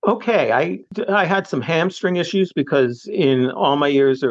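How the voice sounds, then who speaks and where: A fairly slow-paced man with an American accent and very wide pitch swings. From US, suburban Philadelphia. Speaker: retired recreational runner and cyclist. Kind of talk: casual chat.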